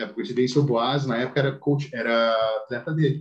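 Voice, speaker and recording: A somewhat breathy man's voice, medium in pitch, at a fairly quick pace. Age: 20s. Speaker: amateur bodybuilder. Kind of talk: casual chat.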